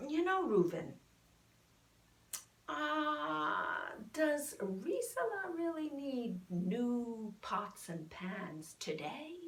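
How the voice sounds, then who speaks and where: In a put-on character voice, a woman speaks very slowly at a high pitch with very wide pitch swings. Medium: solo performance. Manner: eager, stammering.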